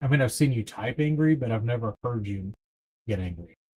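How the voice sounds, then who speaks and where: A man talks at a fairly quick pace with lively intonation. His voice is somewhat breathy. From East Texas. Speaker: livestream host running a trivia game. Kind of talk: casual livestream chat, reading trivia questions.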